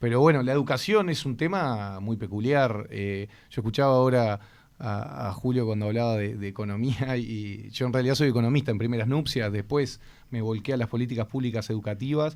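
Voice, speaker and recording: A man talks at a fairly quick pace in an ordinary speaking voice. His pitch sits in the medium range, with ordinary pitch variation. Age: 30s. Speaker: education official. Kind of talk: radio interview.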